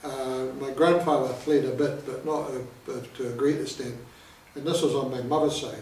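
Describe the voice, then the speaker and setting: Amid noticeable background noise and audible room echo, a man speaks at a moderate pace in a fairly high pitch with monotone, flat intonation. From New Zealand, Palmerston North. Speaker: piper, army veteran. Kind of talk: interview.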